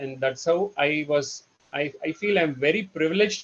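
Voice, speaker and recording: In a Telugu accent, a man speaks at a fairly high pitch with ordinary pitch variation. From India, Karnataka (Bangalore). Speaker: trainer. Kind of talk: presentation. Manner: halting, many fillers.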